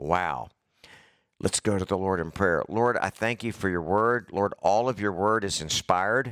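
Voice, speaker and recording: At a fairly low pitch and fairly slow pace, a man speaks with ordinary pitch variation in a very clean recording with a silent background and a dry, close sound with no echo. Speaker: preacher. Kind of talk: sermon. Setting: church. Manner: informal, conversational.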